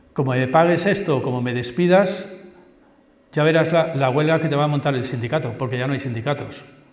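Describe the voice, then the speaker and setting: Audible room echo surrounds this man's voice. He speaks at a fairly high pitch with ordinary pitch variation. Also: fairly quick pace. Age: 60s. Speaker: university professor. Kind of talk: public lecture. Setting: school assembly hall with audience. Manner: animated.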